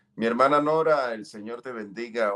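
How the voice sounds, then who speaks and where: A man with a strong Colombian coastal accent and a bright, sharp tone, talking at a moderate pace. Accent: Colombian costeño, strong. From Colombia, Caribbean coast (Santander-born). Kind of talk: testimony. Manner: halting, many fillers.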